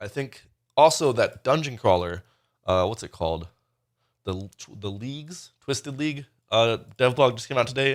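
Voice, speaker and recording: Long, frequent pauses and lively intonation, with big swings in loudness, on a very clean recording with a silent background. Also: man. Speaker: gaming content creator. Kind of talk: casual monologue. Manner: fast.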